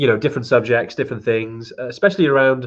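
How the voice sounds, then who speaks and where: A man with a Welsh accent uses ordinary pitch variation over a quiet background. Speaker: trekking company host. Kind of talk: live stream Q&A chat. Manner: fast; hesitant, many fillers.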